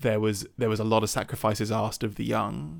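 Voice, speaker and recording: The speech moves at a fairly quick pace in a British accent, with vocal fry. The recording is very clean, with a silent background. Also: man. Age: 30s. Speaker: podcast co-host. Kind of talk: casual chat.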